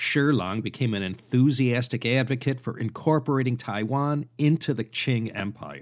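With an unremarkable speaking voice, a man speaks at medium pitch with ordinary pitch variation and a moderate pace in a very clean recording with a silent background. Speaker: podcast host and history narrator. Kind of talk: history documentary narration, scripted-style lecture. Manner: measured, steady storytelling pace; conversational, wry and informal asides.

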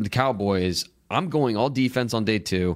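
On a very clean recording with a silent background, a man with a normal speaking voice talks at a fairly low pitch with lively intonation. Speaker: football draft analyst. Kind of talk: sports podcast discussion.

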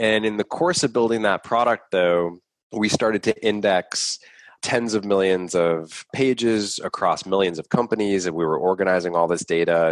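A man with an American accent uses a normal speaking voice, his pitch fairly low with ordinary variation, at a moderate pace in a dry, close sound with no echo. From Boston. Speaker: startup CEO. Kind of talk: interview.

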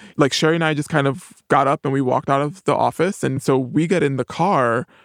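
Recorded very cleanly against a silent background, with a dry, close sound and no echo, a man speaks at a fairly quick pace with vocal fry. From New York, the Bronx. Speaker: TV writer and producer. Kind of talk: interview.

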